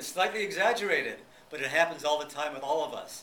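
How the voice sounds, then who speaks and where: Noticeable background noise accompanies a man talking very fast at a fairly high pitch with ordinary pitch variation. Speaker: psychotherapist and speaker. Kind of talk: public lecture.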